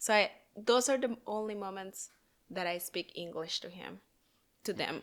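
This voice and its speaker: A woman speaks with ordinary pitch variation. She leaves long, frequent pauses. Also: medium pitch for a woman, moderate pace, big swings in loudness, very clean recording, silent background. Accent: Spanish. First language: Spanish. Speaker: podcast co-host, mother. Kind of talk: casual chat. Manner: halting.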